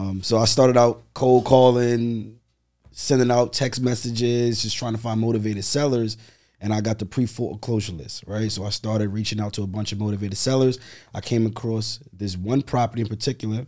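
Speaking at a fairly quick pace, a man with a New York accent has a medium pitch and a dark, mellow tone. The recording is very clean, with a silent background. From Brooklyn, New York. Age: 30s. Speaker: real estate investor. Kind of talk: interview.

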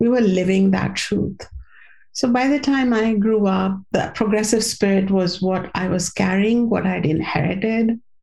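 A woman of medium pitch talks at a moderate pace with ordinary pitch variation and very even loudness over noticeable background noise. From India. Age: 50s. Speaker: spiritual teacher and author. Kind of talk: interview.

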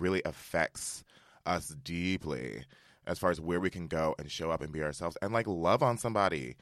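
Vocal fry runs through this man's very deep, low voice as he speaks with lively intonation. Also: very clean recording, silent background. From Westchester, New York. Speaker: tech operations worker and actor. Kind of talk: casual chat.

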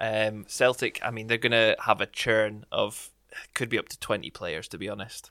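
A man at medium pitch and moderate pace, monotone and flat in intonation, with big swings in loudness, in a dry, close sound with no echo on a very clean recording with a silent background. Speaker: podcast co-host.

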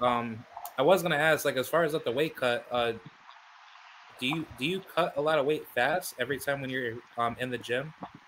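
Ordinary pitch variation marks delivery that moves fairly quickly. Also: man, fairly high pitch for a man. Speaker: boxing podcast host. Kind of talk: casual interview. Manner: halting.

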